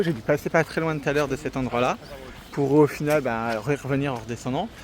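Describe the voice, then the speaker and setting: A man's fairly high-pitched voice at a fairly quick pace, ordinary pitch variation, and noticeable background noise. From France. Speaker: travel vlogger. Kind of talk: travel vlog narration. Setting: outdoors. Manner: casual, hesitant with fillers; animated.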